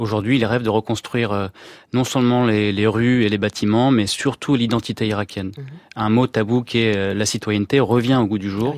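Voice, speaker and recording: An ordinary speaking voice moves at a fairly quick pace with fairly even intonation. The sound is dry and close, with no echo. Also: man. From France, Iraqi family. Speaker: war reporter. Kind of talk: radio interview.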